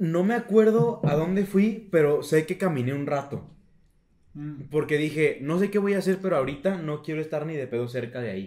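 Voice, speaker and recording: A man with a Mexican accent, fairly high in pitch, with lively intonation at a moderate pace. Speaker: podcast co-host. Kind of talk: casual chat. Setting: home recording in his bedroom.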